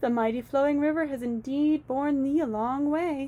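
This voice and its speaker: A woman uses a put-on character voice pitched high. Her intonation stays fairly even. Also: moderate pace. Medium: read story. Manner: archaic, tender.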